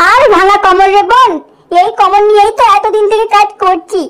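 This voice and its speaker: A woman does a cartoonish character voice at an extremely high pitch. Her pace is moderate, her intonation fairly even and her loudness very even. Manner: warm, weary.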